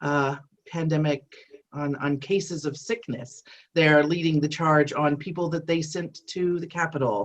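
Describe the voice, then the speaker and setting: The voice carries an American accent and ordinary pitch variation. It moves at a moderate pace. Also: woman, very deep, low pitch for a woman. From US, Arizona. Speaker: academic and former foster care advocate. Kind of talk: webinar discussion.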